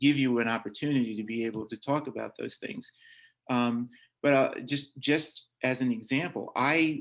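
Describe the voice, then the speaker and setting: A man talks at a moderate pace with an American accent, in a normal speaking voice. His pitch is medium and his intonation fairly even. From Long Island, New York. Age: 60s. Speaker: adoptive parent and foster care alumnus speaker. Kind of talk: workshop talk and Q&A. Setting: video call.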